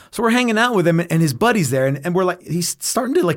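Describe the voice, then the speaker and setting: A speaker with an American accent and very wide pitch swings. The recording is very clean, with a silent background. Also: man. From North Texas. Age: 50s. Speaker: guitar builder and rock musician. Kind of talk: casual chat. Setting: studio. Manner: loud.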